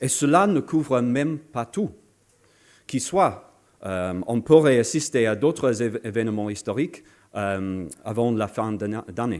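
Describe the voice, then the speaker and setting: A man with a non-native accent at a very slow pace, medium-pitched with lively intonation, in a very clean recording with a silent background. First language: not French (speaking French). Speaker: political speaker. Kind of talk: political lecture. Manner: halting, many hesitations.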